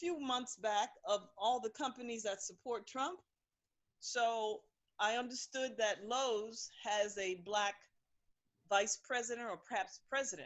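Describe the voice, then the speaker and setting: A woman with an ordinary speaking voice and an American accent speaks at a fairly slow pace. Her intonation is lively. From New York. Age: 60s. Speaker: caller. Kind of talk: call-in discussion. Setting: phone call.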